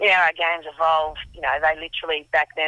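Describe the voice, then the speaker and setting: Speaking with an Australian accent, a woman uses a very deep, low pitch and monotone, flat intonation. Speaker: former football administrator. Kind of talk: interview. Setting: outdoors in a car park.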